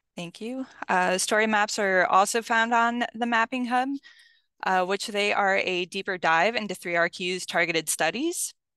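A woman's bright, sharp-toned voice with ordinary pitch variation, dry with no echo, over a quiet background. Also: moderate pace. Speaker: mapping specialist. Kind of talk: webinar presentation. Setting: video call. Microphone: video call.

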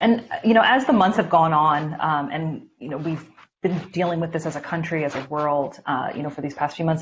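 Over light background noise, a woman with a very deep, low pitch and a somewhat breathy voice speaks at a moderate pace with ordinary pitch variation. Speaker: current affairs curator and host. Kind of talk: interview. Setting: video call. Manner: halting. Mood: earnest, sympathetic. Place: home room. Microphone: video call.

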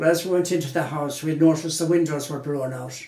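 A man speaks with audible room echo. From Galway, Ireland; Ireland. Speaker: interviewee. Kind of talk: interview answer. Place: home room.

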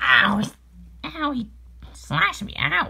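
The voice sounds female and sits at medium pitch. It is a put-on character voice. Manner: silly, comic overacting.

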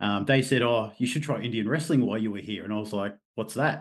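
A man with an Australian accent talks at a fairly quick pace with ordinary pitch variation over a quiet background. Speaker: martial artist and mental health therapist. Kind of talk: casual interview.

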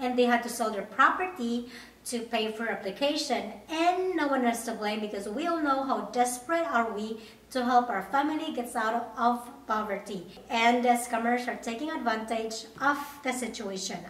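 Audible room echo surrounds a woman's high voice with ordinary pitch variation. She speaks at a moderate pace. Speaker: au pair vlogger. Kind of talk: casual vlog chat. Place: home room.

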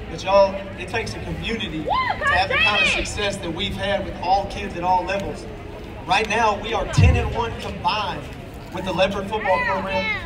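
A moderate pace, with crowd noise in the background. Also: man. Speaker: football coach. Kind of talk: pep rally speech. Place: street.

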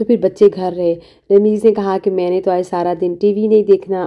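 The speaker is a woman with a Pakistani accent. Her intonation is monotone and flat. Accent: Pakistani Urdu. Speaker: family vlogger. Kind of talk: vlog narration.

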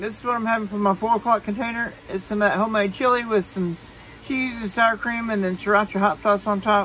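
The speech comes at a fairly quick pace, with a dry sound with no echo and light background noise. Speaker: diet vlogger. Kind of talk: casual vlog chat. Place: home room. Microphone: phone near.

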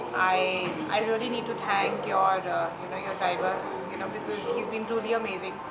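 Loud background noise behind a woman talking at a fairly quick pace. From India. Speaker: tourist. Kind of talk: interview. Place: home room.

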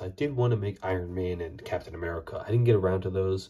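Quiet and somewhat breathy, a man speaks very fast at a fairly low pitch with a dark, mellow tone. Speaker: Lego building YouTuber. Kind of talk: casual video monologue. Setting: at home late at night.

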